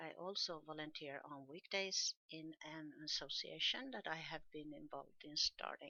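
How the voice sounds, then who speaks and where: A woman with a Swedish accent, a fairly low pitch and a moderate pace. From Sweden. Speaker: podcaster. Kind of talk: casual monologue podcast.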